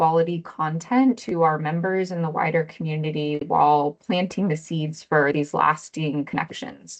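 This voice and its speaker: A normal speaking voice from a woman, on the lower side in pitch, delivered at medium speed. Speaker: nonprofit program director. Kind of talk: town hall presentation.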